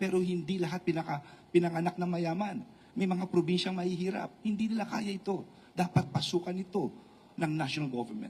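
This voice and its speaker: A man speaks at a fairly quick pace with a high pitch. His tone is dark and mellow, with ordinary pitch variation. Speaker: politician. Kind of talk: press conference. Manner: halting.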